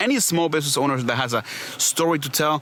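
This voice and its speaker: Fairly quick talking from a man, with noticeable background noise behind it. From Venezuela. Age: 30s. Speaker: PR and branding agency owner. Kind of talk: podcast interview. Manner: hesitant, many fillers and repeats.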